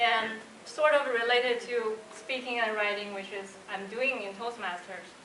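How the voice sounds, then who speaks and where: Amid audible room echo and noticeable background noise, a woman with a Chinese accent talks at a moderate pace in a fairly high pitch with ordinary pitch variation. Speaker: designer and Toastmasters club speaker. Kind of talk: prepared speech.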